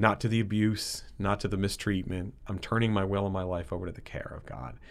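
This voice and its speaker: With an American accent and a plain, everyday voice, a man speaks fairly quickly at a fairly low pitch with fairly even intonation. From Connecticut, West Haven. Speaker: recovering alcoholic. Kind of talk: personal testimony interview.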